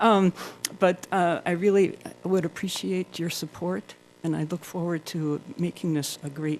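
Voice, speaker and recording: Fairly even intonation at a fairly slow pace. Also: woman. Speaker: school board candidate. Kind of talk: candidate forum speech. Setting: public forum with audience.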